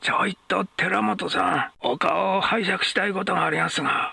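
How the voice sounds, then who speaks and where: In a put-on character voice, a man sounds raspy as he speaks at a moderate pace. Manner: coaxing, wheedling, cat-like soft voice.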